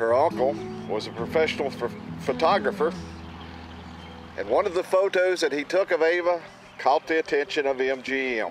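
A man at a moderate pace with long, frequent pauses, a dry sound without echo, and music in the background. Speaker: travel vlogger. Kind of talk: commentary. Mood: calm, respectful. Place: open country.

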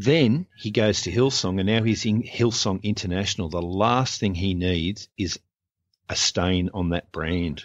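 This voice carries an Australian accent with ordinary pitch variation. It moves at a fairly slow pace. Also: man, fairly low pitch for a man. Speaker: abuse survivor and church abuse activist. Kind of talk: personal testimony in interview. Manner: sarcastic, humorous.

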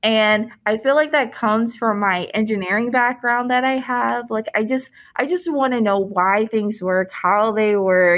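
In an American accent, a woman with an ordinary speaking voice and medium pitch talks at a fairly slow pace on a very clean recording with a silent background. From Michigan, Detroit area. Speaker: veterinary student. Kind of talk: interview.

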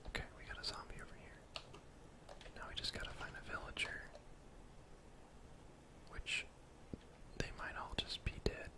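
A soft-spoken whisper, broken by long, frequent pauses, comes through noticeable background noise. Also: man, moderate pace. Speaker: gamer streamer. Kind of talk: gameplay commentary. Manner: soft ASMR whisper. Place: home room.

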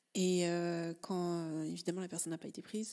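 A woman speaks at a fairly slow pace. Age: 30s. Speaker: life coach and podcaster. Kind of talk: personal storytelling monologue. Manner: halting, many filler sounds.

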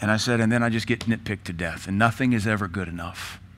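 This man's voice is fairly low. He rushes through his words very fast. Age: 40s. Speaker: pastor. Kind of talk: panel discussion moderation. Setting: church. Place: church.

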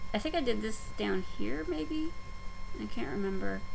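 The speaker has an American accent and a fairly slow pace. Light background noise is present. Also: woman. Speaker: stitching vlogger. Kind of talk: casual vlog update. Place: home room. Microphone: webcam.

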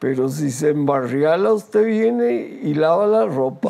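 Very wide pitch swings run through this man's voice. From Costa Rica, Heredia province; Costa Rica. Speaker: retired radio journalist. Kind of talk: interview. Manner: hesitant with frequent fillers. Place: studio. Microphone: lapel.

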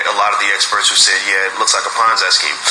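Very fast male speech amid clearly audible background noise. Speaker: podcast host. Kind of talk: podcast monologue. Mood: earnest, warning tone. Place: home room. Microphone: phone near.

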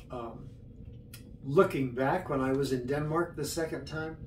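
Over light background noise and audible room echo, a man with a fairly high pitch talks at a fairly slow pace with fairly even intonation. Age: 80s+. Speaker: retiree recounting his life. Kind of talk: oral history interview. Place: home room. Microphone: camera far.

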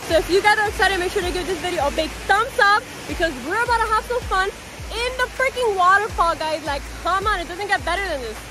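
A raised, projected voice speaks at a very fast pace in a dry sound with no echo, over noticeable background noise. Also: woman, lively intonation. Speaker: vlogger. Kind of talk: casual vlog chat. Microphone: phone near.

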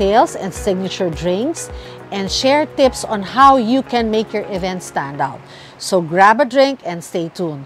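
With faint music in the background, a woman's voice comes through dry, with no echo. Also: fairly slow pace. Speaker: show host. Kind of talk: host intro to camera, then interview questions. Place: garden. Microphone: lapel.

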